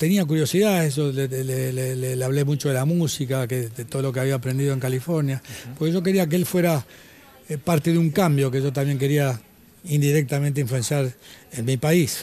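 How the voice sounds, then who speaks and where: The speaker talks with an Argentine accent at a fairly quick pace. Pitch variation is ordinary. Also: man, fairly high pitch for a man. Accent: Argentine Spanish (Rioplatense). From Argentina. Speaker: former tennis player and author. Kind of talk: interview. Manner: halting.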